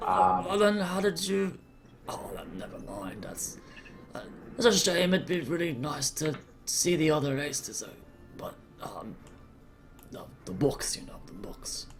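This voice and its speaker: Over clear music in the background, a man does a put-on character voice at a fairly high pitch, with very wide pitch swings, a fairly slow pace and long, frequent pauses. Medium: actual play. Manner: stammering, polite, bookish.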